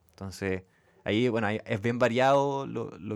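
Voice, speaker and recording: A man with a Chilean accent speaks at a moderate pace. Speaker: podcast host, venture fund director. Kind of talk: casual interview chat.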